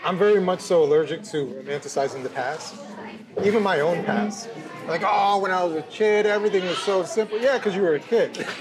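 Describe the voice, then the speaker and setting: Over crowd noise in the background, a man with an American accent and a high pitch talks at a fairly quick pace with ordinary pitch variation. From New Jersey, US. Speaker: podcast host and writer. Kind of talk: casual chat. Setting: kosher restaurant.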